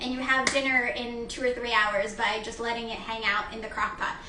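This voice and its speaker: Against noticeable background noise and audible room echo, a woman talks fairly quickly in a raised, projected voice. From Mexico. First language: Spanish. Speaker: chef and dietitian. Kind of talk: cooking demonstration. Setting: kitchen live stream with camerawoman. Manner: casual, with frequent fillers.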